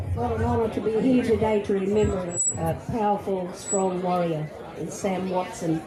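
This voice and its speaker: Crowd noise fills the background as a woman talks with lively intonation. Her pace is moderate, and the room echo is audible. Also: medium pitch for a woman. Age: old. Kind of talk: memorial tribute speech.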